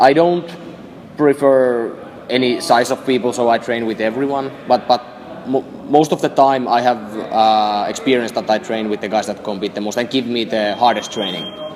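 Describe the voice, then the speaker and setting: Against noticeable background noise, a man speaks at a moderate pace and medium pitch with ordinary pitch variation. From northern Finland, Lapland. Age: 20s. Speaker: jiu-jitsu athlete. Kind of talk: interview. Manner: halting, many fillers.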